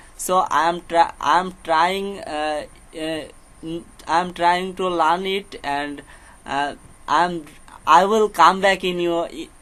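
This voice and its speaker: A man with a Bengali accent speaks very slowly at a high pitch, in a bright, sharp tone. His intonation is fairly even, broken by long, frequent pauses. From Bangladesh, Jessore. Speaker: English learner. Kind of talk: casual chat. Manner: halting.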